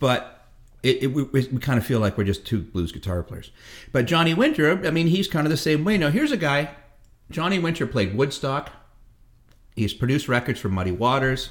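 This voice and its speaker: A man's fairly high voice with vocal fry, very wide pitch swings, a fairly quick pace and long, frequent pauses. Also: very clean recording, silent background. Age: 50s. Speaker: blues musician. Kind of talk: casual chat. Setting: home kitchen.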